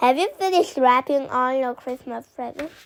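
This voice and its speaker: A woman's put-on character voice, high-pitched and at a moderate pace. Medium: read story. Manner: stern, scolding.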